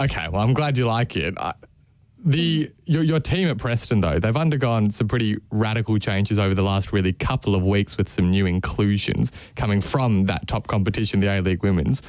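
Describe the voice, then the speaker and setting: A fairly low-pitched man speaks at a fairly quick pace with lively intonation and very even loudness, in a very clean recording with a silent background. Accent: Australian. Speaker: football radio host. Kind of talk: casual chat.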